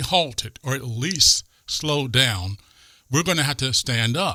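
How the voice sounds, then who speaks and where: A man with a fairly high pitch and a bright, sharp tone speaks in an animated tone with very wide pitch swings, in a very clean recording with a silent background. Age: 60s. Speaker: conservative podcast co-host. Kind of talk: political talk show discussion.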